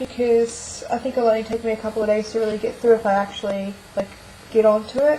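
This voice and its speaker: Fairly high in pitch, a woman speaks at a fairly quick pace with fairly even intonation. Noticeable background noise runs behind her. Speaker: book vlogger. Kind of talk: casual video monologue. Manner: fast.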